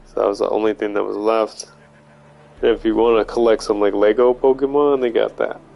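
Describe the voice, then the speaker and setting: A man speaks at a moderate speed while music plays in the background. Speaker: gaming streamer. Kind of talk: casual chat.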